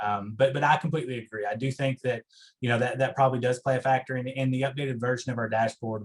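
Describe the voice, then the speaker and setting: With an Eastern Kentucky accent, a man of medium pitch speaks with fairly even intonation. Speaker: higher education researcher. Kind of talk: meeting presentation Q&A. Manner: halting, many fillers.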